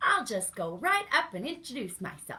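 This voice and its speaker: A woman does a put-on character voice. It sits high in pitch and makes very wide swings. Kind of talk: bedtime story. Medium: read story.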